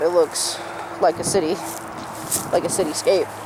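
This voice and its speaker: Someone mumbles against noticeable background noise. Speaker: vlogger. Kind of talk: casual vlog. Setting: outdoors in cemetery. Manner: mumbling.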